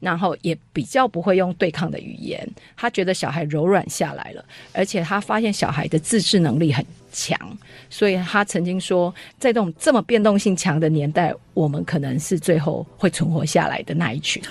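A woman's somewhat breathy, fairly low-pitched voice at a moderate pace with ordinary pitch variation, against a quiet background. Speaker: homeschooling co-op parent. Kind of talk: radio interview.

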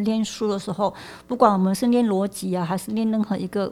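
A woman with a fairly high pitch talks at a very fast pace. The recording is very clean, the background silent. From Malaysia. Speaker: philosophy professor. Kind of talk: interview conversation.

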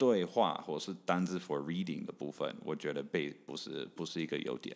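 Very wide pitch swings in a man's moderately paced speech. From Canada. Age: 30s. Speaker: English teacher. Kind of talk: interview. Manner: halting.

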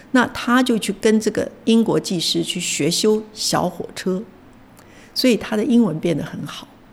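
A woman speaks at a fairly slow pace in a fairly high, somewhat breathy voice. Her pitch varies in an ordinary way. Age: 70s. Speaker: retired journalism professor. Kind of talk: interview.

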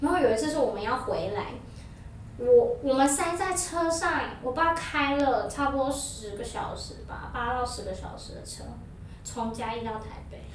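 Over noticeable background noise, a woman with a high pitch speaks at a moderate pace, with ordinary pitch variation and big swings in loudness. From New Taipei, Taiwan. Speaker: podcast guest. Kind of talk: casual chat. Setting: studio.

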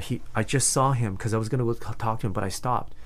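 Medium-pitched male speech with a Canadian accent, at a fairly quick pace, with audible room echo. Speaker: environmental science teacher and public speaking coach. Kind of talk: casual interview. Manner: energetic; loud.

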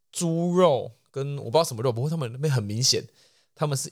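A man with a Taiwanese accent, very fast and somewhat breathy, with lively intonation, on a very clean recording with a silent background. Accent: Taiwanese Mandarin. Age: young. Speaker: podcast co-host. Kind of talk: casual chat.

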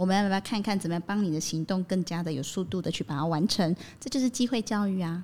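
A woman speaks at a very fast pace. Her pitch is medium, with ordinary variation. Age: 40s. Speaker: psychological counselor and educator. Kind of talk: podcast interview.

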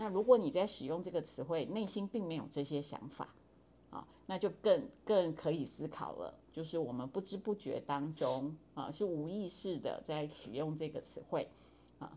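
Her voice has a dark, mellow tone. This woman speaks at a fairly low pitch. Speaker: university professor of Chinese. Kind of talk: interview.

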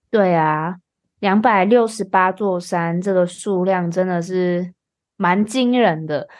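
At a very slow pace, a woman speaks with medium pitch and fairly even intonation. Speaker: podcast host and Mandarin teacher. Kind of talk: casual chat for language learners.

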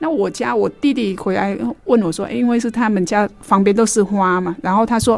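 Her voice sits at a medium pitch for a woman, with lively intonation. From Vietnam. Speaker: radio host. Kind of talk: radio talk show.

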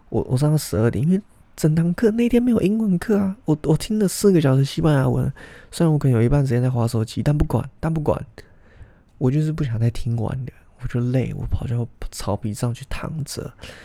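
A man with a dark, mellow, somewhat breathy tone speaks at a fairly quick pace in a fairly high pitch, his voice swinging very widely up and down. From Taiwan. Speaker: podcast host. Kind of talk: casual monologue.

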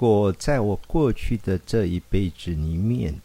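A man is speaking. His tone is dark and mellow. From rural Taiwan. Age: 50s. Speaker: pediatrician. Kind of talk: interview.

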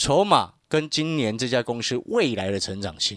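The recording is very clean, and the background is silent. A man talks at a medium pitch. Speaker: stock market analyst. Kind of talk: radio market commentary with sales pitch.

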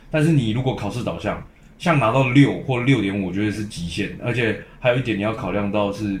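A man with a fairly low pitch and ordinary pitch variation, over noticeable background noise. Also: fairly quick pace. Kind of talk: casual chat.

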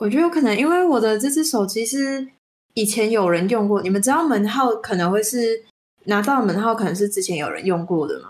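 In a plain, everyday voice, the speaker talks at a fairly quick pace with lively intonation. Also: woman, fairly high pitch for a woman. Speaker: podcast co-host. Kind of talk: casual chat. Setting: remote online call.

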